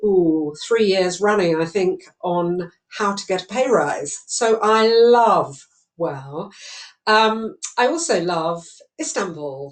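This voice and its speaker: A woman with a British accent speaks very slowly. Her intonation is lively. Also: medium pitch for a woman. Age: 60s. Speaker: charity chairman. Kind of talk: opening speech. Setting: home study.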